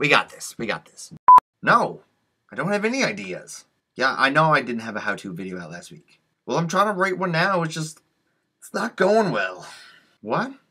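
Against a quiet background, a man with a fairly high pitch, vocal fry and a bright, sharp tone speaks at a moderate pace with very wide pitch swings, big swings in loudness and long, frequent pauses. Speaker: comedy YouTuber. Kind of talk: blooper reel of takes to camera. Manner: playful, trying different deliveries. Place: home room. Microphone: webcam.

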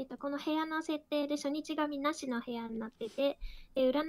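Her high voice keeps a fairly even intonation at a moderate pace. The woman's sound is dry and close, with no echo. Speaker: game room moderator and player. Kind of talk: rules explanation and game discussion.

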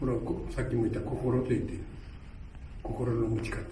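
The man talks with light background noise and audible room echo around him. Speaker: karate teacher. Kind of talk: martial arts lecture. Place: gym. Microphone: camera far.

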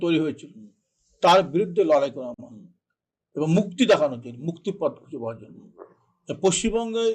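A man's voice sits at a high pitch, and his intonation is lively. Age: 70s. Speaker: politician. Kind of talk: interview. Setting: studio. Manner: grave, serious.

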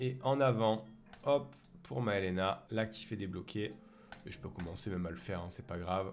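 A man at a moderate pace. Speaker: gaming youtuber. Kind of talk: gameplay commentary. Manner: casual, lively.

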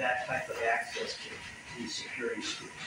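A man talks at a moderate pace. Audible room echo can be heard around his voice.

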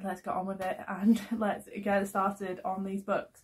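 A woman's voice comes across as somewhat breathy. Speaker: book vlogger. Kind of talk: casual vlog chat. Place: home room. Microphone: phone near.

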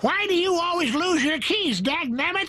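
At a moderate pace, someone performs a put-on character voice pitched extremely high. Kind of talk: folksy, old-timey.

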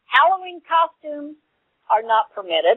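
A woman with an American accent. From US South. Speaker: radio co-host. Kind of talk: internet radio interview.

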